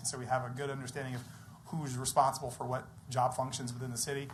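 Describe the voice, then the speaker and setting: Audible room echo surrounds this recording of a man. He talks at a very fast pace with a fairly high pitch. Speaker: compensation consultant presenting to city council. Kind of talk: presentation at council meeting. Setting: city council meeting.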